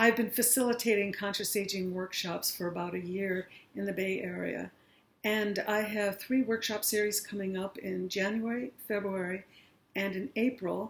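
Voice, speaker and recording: A woman's voice at medium pitch, with fairly even intonation and a moderate pace. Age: 60s. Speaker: aging workshop facilitator. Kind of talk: talk to an audience.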